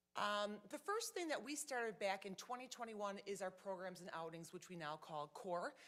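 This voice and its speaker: A woman talks with lively intonation and hardly any pauses. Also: medium pitch for a woman. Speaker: nonprofit program presenter. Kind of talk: presentation to city council. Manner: fast; animated.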